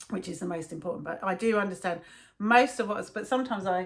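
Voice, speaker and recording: A woman with a London accent talks at a fairly quick pace, her pitch moving in an ordinary way. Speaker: video blogger. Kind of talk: casual chat. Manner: slurred, swallows words.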